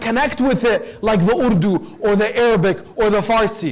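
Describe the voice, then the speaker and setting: A man with an American accent talks over noticeable background noise, with audible room echo. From US (Detroit), part of childhood in Lebanon. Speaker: Islamic preacher. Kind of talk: sermon. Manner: formal.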